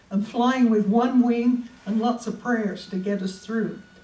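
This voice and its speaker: A woman speaks fairly slowly in a fairly high pitch with fairly even intonation. Audible echo fills the room. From England, Great Yarmouth, Norfolk. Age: 70s. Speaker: local history presenter. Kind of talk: public talk.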